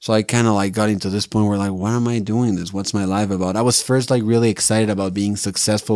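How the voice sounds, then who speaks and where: A speaker with a Spanish accent talks at a fairly quick pace with ordinary pitch variation. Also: man. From Mexico City. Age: 30s. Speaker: Zen monk. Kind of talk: casual interview. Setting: podcast studio.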